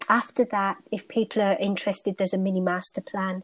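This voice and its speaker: The recording is very clean, with a silent background and a dry, close sound with no echo. A woman with a British accent speaks at a fairly quick pace. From United Kingdom. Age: 40s. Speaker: stress management coach. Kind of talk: interview conversation.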